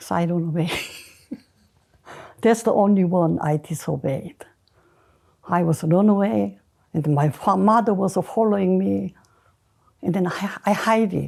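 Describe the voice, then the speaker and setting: On a very clean recording with a silent background, a woman with a Korean accent speaks at a fairly low pitch, somewhat breathy, with a dark, mellow tone and ordinary pitch variation. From South Korea. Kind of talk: interview answer.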